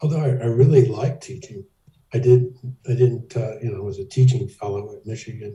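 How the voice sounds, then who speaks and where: With an American accent, a man speaks at medium pitch with ordinary pitch variation. His voice is dark, mellow and somewhat breathy. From US South. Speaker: professor. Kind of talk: oral history interview. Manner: hesitant.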